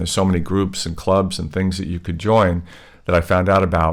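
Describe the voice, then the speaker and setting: This man has a very deep, low-pitched voice. He speaks with an American accent. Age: 60s. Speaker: vlogger. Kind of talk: casual monologue. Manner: halting, many fillers.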